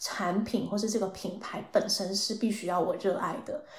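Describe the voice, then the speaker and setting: Audible room echo surrounds a woman speaking at medium pitch. She keeps a moderate pace and fairly even intonation. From Taiwan. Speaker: marketing professional. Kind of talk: casual interview chat.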